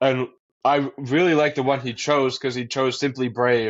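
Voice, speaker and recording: This man speaks at a moderate pace in a Boston accent, his medium-pitched voice held to a flat, monotone intonation. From Massachusetts, US. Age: young. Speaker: college student and mental health advocate. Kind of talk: podcast interview. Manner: casual with fillers.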